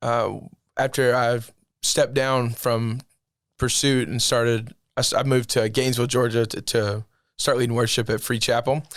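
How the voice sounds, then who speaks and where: A man with a Southern US accent speaks at a moderate pace and medium pitch, in a monotone, flat intonation with long, frequent pauses, on a very clean recording with a silent background. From US South, Alabama (Eufaula). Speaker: worship leader. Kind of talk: casual interview.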